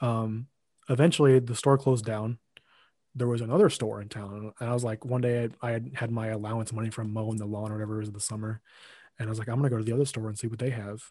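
A man with an American accent speaks at a very fast pace and medium pitch. His tone is dark and mellow, somewhat breathy, with fairly even intonation. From US Midwest, Lincoln, Illinois. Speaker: podcast editor and co-host. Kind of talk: casual chat.

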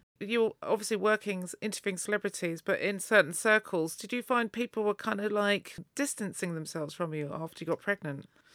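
Speaking at a fairly quick pace with an English accent, this voice has ordinary pitch variation and hardly any pauses, in a dry, close sound with no echo. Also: woman, medium pitch for a woman. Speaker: podcast host and DJ. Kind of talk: interview. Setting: studio.

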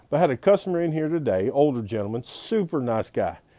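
Speaking with a Southern US accent, a man has a dark, mellow tone and lively intonation. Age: 40s. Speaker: pawn shop owner. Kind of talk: casual video monologue. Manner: animated.

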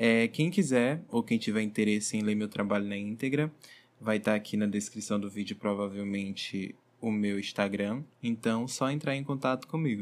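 A man with a plain, everyday voice speaks at a fairly low pitch and moderate pace, with ordinary pitch variation, on a very clean recording with a silent background. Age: 20s. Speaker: tourism graduate, hotel reservations manager. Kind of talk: research presentation.

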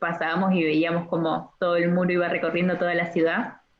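A woman with an Argentine accent speaks at a fairly low pitch. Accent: Rioplatense Argentine Spanish. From Argentina, Entre Ríos. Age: 20s. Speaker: medical student. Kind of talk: casual interview. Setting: phone call.

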